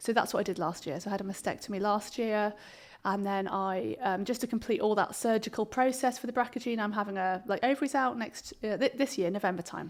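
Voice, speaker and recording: A woman speaks at a very fast pace in a southern English accent. Her pitch is fairly high, with ordinary variation. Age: 40s. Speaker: clinical psychologist. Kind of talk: interview conversation. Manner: hesitant, many fillers.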